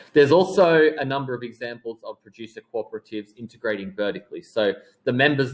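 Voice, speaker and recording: A man in an Australian accent, lively in intonation and fairly quick in pace. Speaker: teacher. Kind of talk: lecture. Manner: hesitant, with many fillers.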